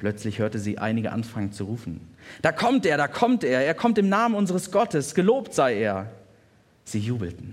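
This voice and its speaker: At a moderate pace and medium pitch, a man speaks with very wide pitch swings on a very clean recording over a silent background. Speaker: pastor. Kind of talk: sermon told as a retold story, bedtime-style storytelling. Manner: vivid, warm, descriptive narration.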